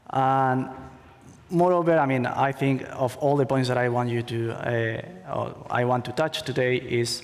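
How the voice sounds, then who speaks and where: A man with a Spanish accent speaks at a medium pitch. His voice carries an audible room echo. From Spain. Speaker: conference speaker, attorney. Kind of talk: conference talk. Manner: halting, many fillers.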